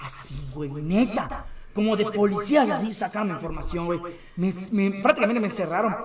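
Talking at a very fast pace with lively intonation, a man with a Yucatecan accent uses a high pitch for a man over noticeable background noise. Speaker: content creator. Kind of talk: casual chat.

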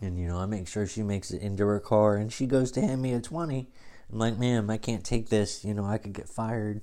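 A man races along very fast, his pitch moving with ordinary variation. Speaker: wrestling podcast host. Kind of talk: casual monologue. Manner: halting, many fillers.

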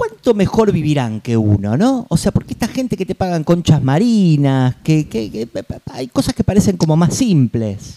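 A man's dark, mellow voice, fairly high pitched with very wide pitch swings, at a moderate pace, in a dry, close sound with no echo. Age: 40s. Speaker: podcast host. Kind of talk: casual chat.

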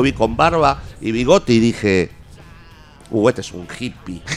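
Noticeable background noise accompanies the man as he talks. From Argentina. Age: 50s. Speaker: punk rock musician. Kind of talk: radio interview. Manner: halting.

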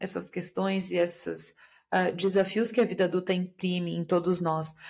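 A woman speaks in a calm tone on a very clean recording with a silent background. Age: 40s. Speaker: systemic therapist and podcaster. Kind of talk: solo podcast monologue.

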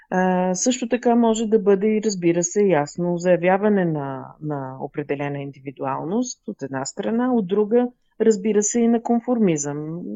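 A woman at a fairly slow pace with lively intonation and hardly any pauses. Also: medium pitch for a woman. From Bulgaria, Burgas region. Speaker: fashion designer. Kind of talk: interview. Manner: halting, many fillers.

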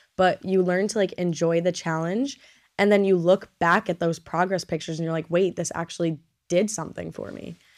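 A plain, everyday voice speaks at a fairly quick pace with fairly even intonation in a very clean recording with a silent background. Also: woman. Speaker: podcast host, college student. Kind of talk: casual chat.

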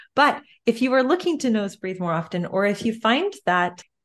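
A woman's ordinary speaking voice with a Canadian accent, at a moderate pace with ordinary pitch variation, against a quiet background. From Canada. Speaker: breathing therapist and yoga instructor. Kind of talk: interview.

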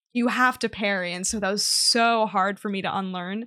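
Over a quiet background, a woman speaks at a fairly high pitch in a bright, sharp tone. Her pitch varies in an ordinary way. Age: 20s. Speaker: Twitch streamer. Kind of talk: casual interview.

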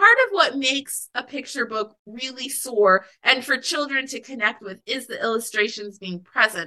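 A woman with a General American accent speaks at a moderate pace in a high, raised and projected voice, with hardly any pauses. Her loudness swings widely. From Alaska, US. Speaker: author. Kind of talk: interview.

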